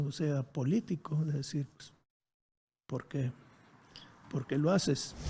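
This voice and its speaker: This man's voice is dark, mellow and somewhat breathy, set fairly high for a man, with fairly even intonation. The recording is very clean, with a silent background. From Monterrey, Mexico. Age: 70s. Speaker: former guerrilla leader, architect. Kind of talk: interview. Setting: his home.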